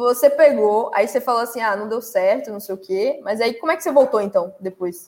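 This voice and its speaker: A woman with a fairly high voice talks at a fairly quick pace, hardly pausing, with ordinary pitch variation. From Salvador, Bahia, Brazil. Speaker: live stream host, tech content creator. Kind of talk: casual live stream chat. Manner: animated.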